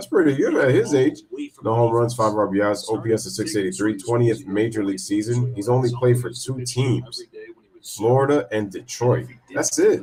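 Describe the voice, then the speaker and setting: With noticeable background noise behind him, a man speaks at a moderate pace and medium pitch with ordinary pitch variation. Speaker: livestream play-by-play host. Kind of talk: live play-by-play commentary with chat. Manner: casual.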